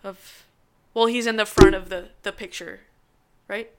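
A woman with an American accent and an unremarkable speaking voice talks at a fairly slow pace with fairly even intonation, on a very clean recording with a silent background. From US East Coast, New York. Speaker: screenwriter. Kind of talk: casual chat.

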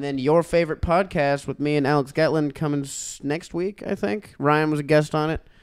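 Here a man speaks in a plain, everyday voice. His pitch is fairly high and his intonation fairly even. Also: fairly quick pace. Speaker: stand-up comedian and podcaster. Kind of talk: casual joking banter. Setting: studio in Los Angeles.

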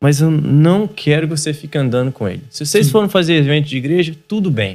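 The man's pitch swings over a very wide range. He moves at a fairly quick pace. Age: 30s. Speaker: church youth pastor and podcast host. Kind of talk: casual chat.

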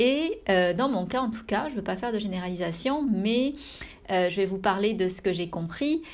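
A woman speaks at a moderate pace with a medium pitch. Her pitch varies in an ordinary way. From France. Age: 30s. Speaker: meditation teacher and podcast host. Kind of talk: personal reflection monologue. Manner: intimate, soft-spoken; hesitant, with frequent fillers.

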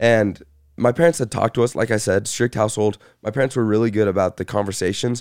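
On a very clean recording with a silent background, a man talks very fast with ordinary pitch variation. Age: young. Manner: mild stutter.

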